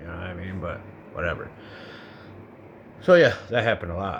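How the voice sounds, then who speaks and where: With an American accent, a man talks amid noticeable background noise and audible room echo. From Colorado. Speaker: vlogger. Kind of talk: personal monologue. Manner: halting; casual.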